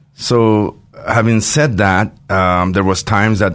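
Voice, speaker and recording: A man speaks with ordinary pitch variation. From Iran (Tehran). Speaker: restaurateur and charity founder. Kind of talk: interview.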